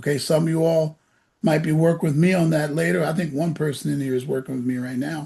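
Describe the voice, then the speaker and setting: A fairly quick pace and fairly high pitch from a man, with ordinary pitch variation. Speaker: SAT prep teacher. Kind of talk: orientation talk to parents and students. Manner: loud; animated.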